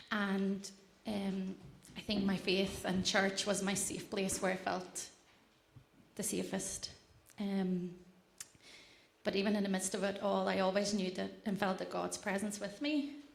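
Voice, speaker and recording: A woman speaks at medium pitch, fairly slowly, with long, frequent pauses and vocal fry. Her intonation is fairly even, and room echo is audible. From Latvia. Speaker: church member sharing testimony. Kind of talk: testimony.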